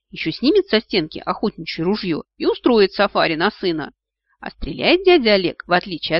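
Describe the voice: Someone reads aloud plainly. Nothing much sounds behind the voice.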